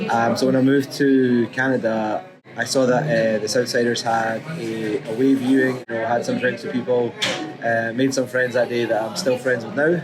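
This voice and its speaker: With music in the background, a man in a Scottish accent talks at medium pitch and a moderate pace, his intonation fairly even. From Scotland. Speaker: supporters group volunteer. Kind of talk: documentary interview.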